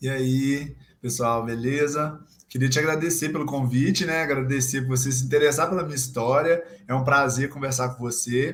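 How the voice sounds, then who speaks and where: A man speaks at a moderate pace with a fairly high pitch and fairly even intonation. His voice is somewhat breathy, and there is audible room echo. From Brazil, Minas Gerais (Guidoval). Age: 20s. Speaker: physical education student and gym intern. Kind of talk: casual chat.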